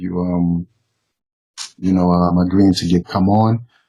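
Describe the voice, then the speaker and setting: The speaker is a man with a very deep, low pitch. His tone is dark and mellow. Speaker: YouTube interview host. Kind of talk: casual interview chat. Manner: halting with many fillers.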